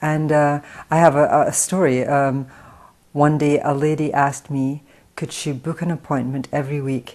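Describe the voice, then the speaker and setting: A woman with an American accent speaks at a moderate pace in a very deep, low pitch and a monotone, flat intonation. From Scotland (Paisley, near Glasgow). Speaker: hair stylist and salon owner, film writer. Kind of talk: interview. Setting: in her salon.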